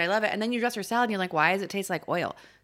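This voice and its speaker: A woman speaks very fast in a medium pitch with an American accent and ordinary pitch variation. The recording is very clean, with a silent background. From US West Coast, Los Angeles San Fernando Valley. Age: 30s. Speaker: chef and cookbook author. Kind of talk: casual chat. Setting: studio.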